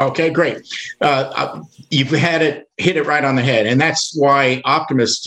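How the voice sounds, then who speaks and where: With ordinary pitch variation around a medium pitch, a man talks in an unremarkable speaking voice at a moderate pace. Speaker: volunteer organization leader. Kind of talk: casual interview.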